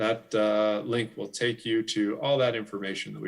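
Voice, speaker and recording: A man with a fairly low voice and ordinary pitch variation. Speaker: city official presenting a street levy. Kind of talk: presentation at a club meeting. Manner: fast.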